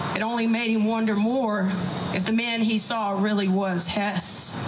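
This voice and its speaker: A woman talks at a fairly slow pace with a fairly high pitch. Background noise is noticeable. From South Texas. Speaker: storyteller. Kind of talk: live folk tale telling. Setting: live event venue.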